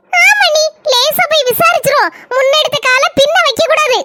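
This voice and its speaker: A woman performs a cartoonish character voice at an extremely high pitch, with very wide pitch swings, very even loudness and a fairly slow pace. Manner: chatty, conspiratorial.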